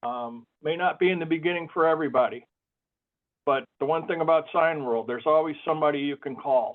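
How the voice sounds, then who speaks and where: Fairly high-pitched for a man, this is an ordinary speaking voice moving at a fairly quick pace with ordinary pitch variation. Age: 60s. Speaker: sign shop owner. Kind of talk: webinar panel discussion.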